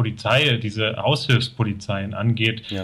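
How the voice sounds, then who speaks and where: Speaking fairly slowly at a medium pitch, a man has a bright, sharp tone and monotone, flat intonation. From Thuringia, eastern Germany. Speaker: sociologist. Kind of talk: interview.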